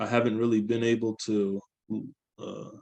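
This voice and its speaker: Speaking in an American accent, a man has a dark, mellow tone and a monotone, flat intonation. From San Francisco Bay Area, US. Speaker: student. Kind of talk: class presentation. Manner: halting.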